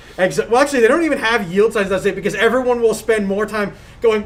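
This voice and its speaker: Noticeable background noise runs under a voice with an American accent. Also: woman. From Long Island, New York. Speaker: gaming podcast co-host. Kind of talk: casual chat. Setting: live stream.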